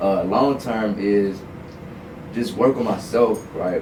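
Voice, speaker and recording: The speech moves at a fairly slow pace. Audible room echo and noticeable background noise come through. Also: man. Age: 20s. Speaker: content creator. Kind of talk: casual chat. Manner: animated.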